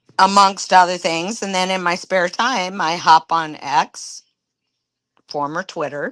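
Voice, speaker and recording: With a dry, close sound, no echo and a quiet background, a woman talks at a fairly slow pace and a fairly low pitch with ordinary pitch variation in an unremarkable speaking voice. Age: 60s. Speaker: retiree. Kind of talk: casual chat.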